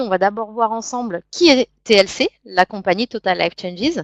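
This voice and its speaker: A woman with a normal speaking voice and a fairly high pitch talks with ordinary pitch variation in a dry, close sound with no echo. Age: 30s. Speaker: network marketing distributor. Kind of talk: sales pitch. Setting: web conference.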